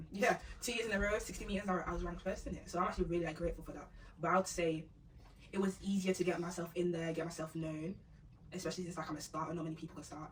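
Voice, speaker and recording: Over noticeable background noise, a woman talks at a very fast pace with a fairly low pitch and fairly even intonation. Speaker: sprinter. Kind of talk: casual chat.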